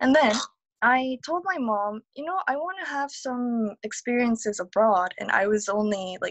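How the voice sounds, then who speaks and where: A woman speaks with a Korean accent at a fairly high pitch. Her intonation is lively. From South Korea. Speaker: digital nomad, multilingual speaker. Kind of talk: interview.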